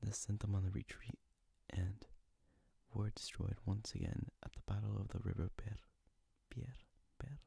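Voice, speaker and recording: A soft-spoken whispering voice comes with long, frequent pauses. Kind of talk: ASMR history lesson, whispered narration. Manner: soft whispering.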